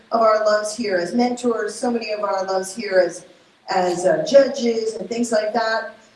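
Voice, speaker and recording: A woman speaks with a Spanish accent at a moderate pace. Room echo is audible and background noise is noticeable. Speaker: university entrepreneurship program staff. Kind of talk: event speech. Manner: hesitant, many fillers.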